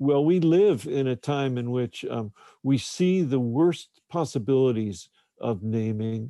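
A man's voice sits at a medium pitch. Its tone is dark and mellow. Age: 60s. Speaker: novelist. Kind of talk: interview. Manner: halting.

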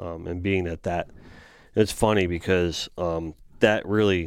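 A man with an American accent speaks in a very deep, low pitch and a monotone, flat intonation. The recording is very clean with a silent background. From South Florida. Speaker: fish artist and podcast host. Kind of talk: casual chat. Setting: studio.

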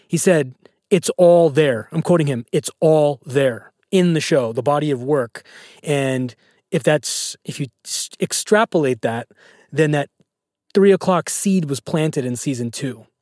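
In a very clean recording with a silent background and a dry, close sound with no echo, an unremarkable speaking voice moves at a fairly slow pace with ordinary pitch variation. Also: man, fairly high pitch for a man. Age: 30s. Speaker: podcast host. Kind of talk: interview. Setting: studio.

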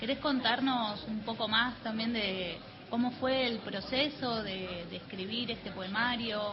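This woman speaks at a fairly slow pace with fairly even intonation and a fairly high pitch. Noticeable background noise runs behind her. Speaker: radio co-host.

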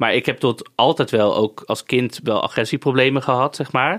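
Fairly quick and recorded dry and close with no echo, a man talks in an ordinary speaking voice. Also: very clean recording, silent background. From Netherlands, Amsterdam. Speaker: podcast host and influencer. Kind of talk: casual chat. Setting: studio.

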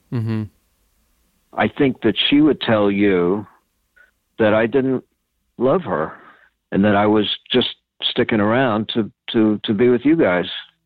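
A man speaks at a fairly slow pace, leaving long, frequent pauses. His pitch is fairly low with ordinary variation, and his loudness stays very even. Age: 60s. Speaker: interviewee, reporter's father. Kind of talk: casual family interview. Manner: halting.

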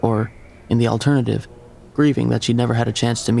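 This natural reading voice keeps a fairly even intonation.

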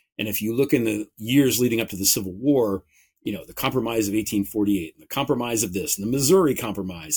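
With an American accent and a normal speaking voice, a man speaks fairly quickly at a medium pitch, his intonation lively. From United States. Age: 50s. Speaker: author and political podcaster. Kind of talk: interview on political talk show.

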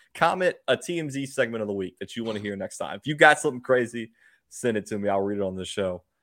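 A man with an American accent talks at a very fast pace. His pitch is medium and his intonation is lively. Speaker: sports podcast host. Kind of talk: casual chat.

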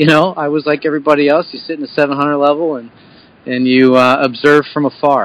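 In a Philadelphia accent, a man with a fairly high pitch speaks at a fairly quick pace with fairly even intonation. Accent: Philadelphia-area American. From Bucks County, Pennsylvania (Philadelphia area). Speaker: baseball hitting coach and former pro player. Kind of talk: interview.

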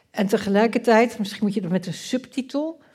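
A dark, mellow tone carries a somewhat breathy quality. The intonation is fairly flat. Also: woman. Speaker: politician and political scientist. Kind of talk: panel discussion. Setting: stage with audience.

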